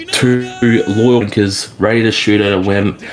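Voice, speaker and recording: A man's medium-pitched voice holds fairly even intonation amid noticeable background noise. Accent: Australian. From Australia. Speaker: gaming community officer presenting medals. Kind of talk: awards ceremony speech. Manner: casual.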